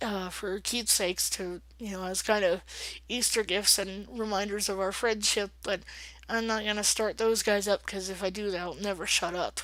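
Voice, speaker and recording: At a moderate pace and medium pitch, a woman speaks with monotone, flat intonation in a very clean recording with a silent background. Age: 30s. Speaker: vlogger. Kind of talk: casual vlog. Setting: at home, late at night. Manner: hesitant, many fillers.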